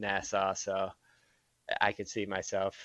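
Over a quiet background, a man with a Michigan accent speaks at a fairly slow pace in a bright, sharp tone. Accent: Midwestern American (Michigan). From southeast Michigan, Monroe. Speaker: former junior hockey player. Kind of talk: casual interview.

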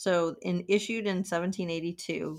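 On a very clean recording with a silent background, a woman with a normal speaking voice talks fairly slowly at a fairly low pitch with ordinary pitch variation. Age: 40s. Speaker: podcast co-host. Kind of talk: casual chat.

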